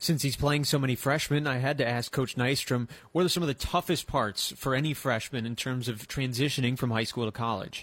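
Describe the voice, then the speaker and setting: A man with a medium pitch and an unremarkable speaking voice talks at a fairly quick pace with hardly any pauses. His intonation stays fairly even, and the recording is very clean with a silent background. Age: 20s. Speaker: sports radio host. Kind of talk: sports talk radio. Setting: radio studio.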